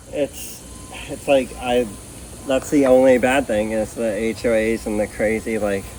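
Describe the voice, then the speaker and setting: The speech moves at a fairly slow pace, with noticeable background noise underneath. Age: 40s. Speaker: junk removal business owner. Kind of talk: casual chat.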